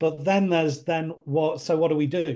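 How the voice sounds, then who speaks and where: The man's voice is fairly high, with a dark, mellow tone. He talks at a fairly quick pace against a quiet background. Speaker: life coach. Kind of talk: roundtable discussion. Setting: video call. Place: home room. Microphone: video call.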